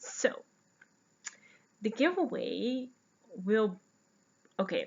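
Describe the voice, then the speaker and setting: With a Dutch accent, a woman speaks at a very slow pace. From Netherlands. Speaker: podcast host, knitter and yarn dyer. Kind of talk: casual podcast monologue. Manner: chatty with many fillers.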